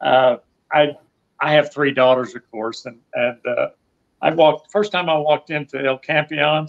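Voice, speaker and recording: Against a quiet background, a man with a Southern US accent speaks at a fairly high pitch and fairly slow pace, with ordinary pitch variation and big swings in loudness. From US South. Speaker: retired expat; interview guest. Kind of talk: interview. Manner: halting, repeats words. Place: home room. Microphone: video call.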